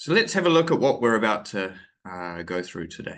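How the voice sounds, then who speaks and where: A man with a New Zealand accent at a moderate pace, his pitch swinging very widely. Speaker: English teacher trainer. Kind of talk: webinar lecture. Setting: online webinar. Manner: hesitant, many fillers.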